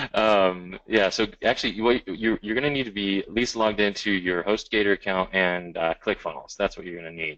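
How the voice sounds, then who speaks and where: A man's plain, everyday voice with an American accent, fairly low in pitch with ordinary pitch variation, at a fairly quick pace with hardly any pauses against a quiet background. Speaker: software trainer. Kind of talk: live webinar tutorial. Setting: webinar with screen share. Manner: casual, many fillers.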